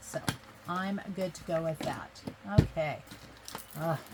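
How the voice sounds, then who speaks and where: A woman speaks over noticeable background noise. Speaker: craft video creator. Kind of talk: crafting tutorial. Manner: casual, chatty.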